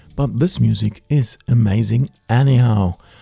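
A man's somewhat breathy voice of medium pitch, with a dark, mellow tone, lively intonation and a dry, close sound with no echo. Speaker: radio DJ. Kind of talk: radio DJ patter introducing ambient tracks. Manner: smooth, warm, unhurried presenter delivery; enthusiastic, upbeat, inviting.

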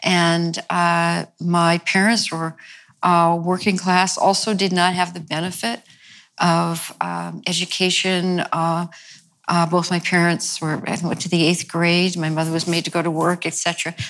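A woman with an American accent, fairly low-pitched, fairly slow, and flat and monotone in intonation. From New York. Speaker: attitudinal healing co-founder and teacher. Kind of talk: interview conversation.

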